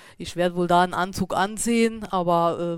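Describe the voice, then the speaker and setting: A woman talks at a fairly slow pace and medium pitch. The recording is very clean, with a silent background. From Saarland, Germany. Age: 40s. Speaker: beekeeper and shop owner. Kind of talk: interview. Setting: studio. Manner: hesitant, many fillers.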